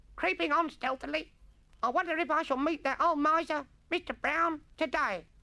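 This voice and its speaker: Taking on a put-on character voice, a woman sounds guttural at a high pitch. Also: moderate pace. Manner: theatrical, stagey, overacted.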